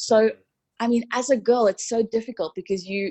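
A somewhat breathy woman's voice, fairly high in pitch, at a fairly quick pace. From South Africa, Cape Town. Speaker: dancer, stage performer and fitness instructor. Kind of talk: casual interview chat. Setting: at home on the sofa, remote. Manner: animated.

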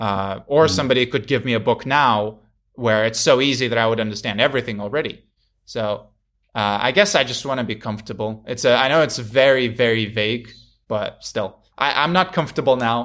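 On a very clean recording with a silent background, a man with a Russian accent speaks at medium pitch and a fairly quick pace, with ordinary pitch variation. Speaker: YouTuber and Japanese learner. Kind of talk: casual interview chat. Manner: hesitant, filler-heavy.

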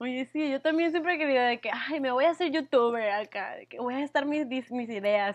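A high-pitched woman at a fairly quick pace, with ordinary pitch variation and a quiet background. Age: 20s. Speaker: podcast co-host. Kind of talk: casual chat.

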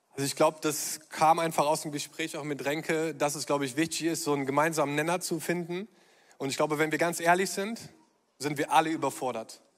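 A man's fairly high, normal speaking voice, fairly quick and with fairly even intonation. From Germany (born Düsseldorf). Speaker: pastor. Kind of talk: conference stage panel talk. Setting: stage with audience.

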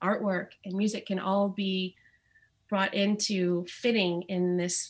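The woman's voice is somewhat breathy with monotone, flat intonation. She speaks at a very slow pace. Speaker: returning guest. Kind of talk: casual chat.

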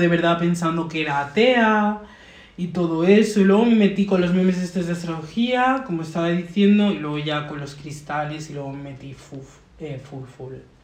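A quiet woman with a fairly low pitch speaks at a moderate pace over noticeable background noise. Her intonation is lively and her loudness swings widely. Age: 20s. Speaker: guest, astrology enthusiast. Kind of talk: casual chat. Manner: uneven volume, loud then suddenly quiet; code-switching Spanish and English.

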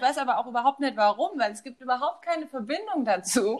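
Her pitch high and her intonation lively, a woman speaks at a fairly quick pace. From Germany, Westerwald. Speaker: podcast co-host. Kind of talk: casual chat.

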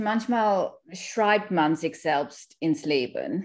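A woman's voice with ordinary pitch variation. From Kenya, Indian Sikh family. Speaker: author. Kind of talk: interview. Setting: remote call.

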